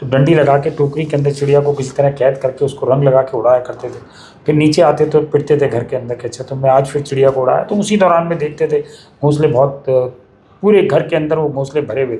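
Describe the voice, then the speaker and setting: Noticeable background noise accompanies a man speaking at a moderate pace with a fairly high pitch. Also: fairly even intonation. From Delhi, India. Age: 60s. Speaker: bird conservationist, nest maker. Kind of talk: interview. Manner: hesitant fillers.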